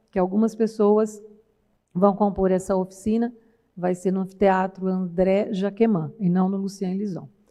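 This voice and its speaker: With a São Paulo interior accent, a woman speaks at a fairly slow pace in a dark, mellow tone, her medium-pitched delivery flat and monotone. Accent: caipira accent (São Paulo countryside). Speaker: university professor, research project coordinator. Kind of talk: conference panel talk. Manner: conversational, many fillers (né).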